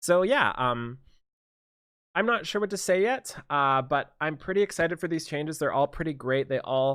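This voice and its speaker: Mumbling at a moderate pace with ordinary pitch variation, a man is heard in a very clean recording with a silent background. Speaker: gaming youtuber. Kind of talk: game commentary. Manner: halting.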